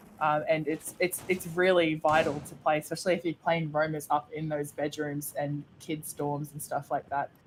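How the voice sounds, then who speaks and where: A woman with a very deep, low pitch speaks in a monotone, flat intonation at a moderate pace. She has hardly any pauses, with music in the background. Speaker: esports caster. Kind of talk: live commentary. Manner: not very loud.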